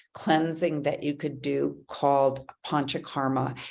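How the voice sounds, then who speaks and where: A woman's very deep, low voice with a dark, mellow tone and vocal fry, at a fairly slow pace. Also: quiet background. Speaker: wellness show host. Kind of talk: casual talk to camera. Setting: livestream from an ashram. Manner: many fillers and hesitations.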